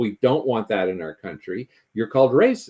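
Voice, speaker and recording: At a fairly quick pace, this voice carries a dark, mellow tone. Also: man. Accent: Canadian. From Canada. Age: 70s. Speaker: climate policy commentator. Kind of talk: interview discussion. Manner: hesitant, many fillers.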